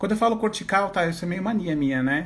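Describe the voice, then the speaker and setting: Male voice with audible room echo. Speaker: teacher and visual therapist. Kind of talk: online lecture. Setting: Instagram live, standing at whiteboard.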